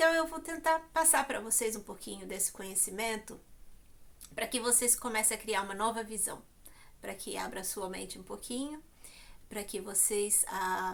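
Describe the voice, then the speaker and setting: This woman has a fairly high pitch, vocal fry, and lively intonation, talking at a moderate pace with long, frequent pauses. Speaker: YouTuber. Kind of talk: vlog monologue. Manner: hesitant, many fillers.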